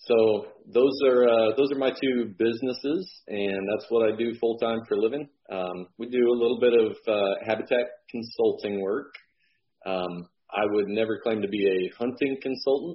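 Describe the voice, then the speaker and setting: A man with an American accent and a normal speaking voice, medium pitch, ordinary pitch variation and a moderate pace. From Illinois. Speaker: realtor and land manager. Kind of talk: interview.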